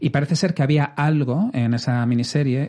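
An ordinary speaking voice: a man talking at a fairly quick pace with ordinary pitch variation. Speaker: podcast host. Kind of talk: casual chat.

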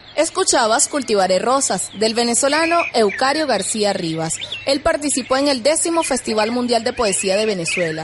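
Noticeable background noise sits under a woman's high-pitched voice, with very wide pitch swings and very even loudness. She keeps a moderate pace with hardly any pauses. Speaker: podcast host. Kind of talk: news-style narration introducing and summarizing a poet's biography. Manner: formal, measured, clear.

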